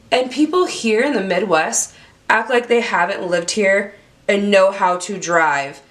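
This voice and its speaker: A woman speaks at a fairly slow pace with a medium pitch, an animated tone and lively intonation. Noticeable background noise runs behind her. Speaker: beauty YouTuber. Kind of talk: product review vlog.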